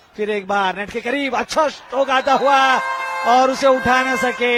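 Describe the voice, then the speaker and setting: A man speaks with ordinary pitch variation. Noticeable background noise runs underneath. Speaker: sports commentator. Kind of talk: live sports commentary. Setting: stadium, live event.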